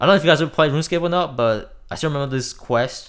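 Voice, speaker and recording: A man speaking at a very fast pace with ordinary pitch variation. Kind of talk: casual gaming vlog talk to camera. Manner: stutters; casual, profane.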